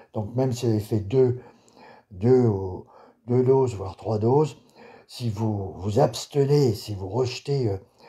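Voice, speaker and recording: A man speaks at a fairly slow pace in a medium pitch with ordinary pitch variation. His voice is somewhat breathy. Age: 60s. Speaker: political video blogger. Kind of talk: video monologue. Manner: halting.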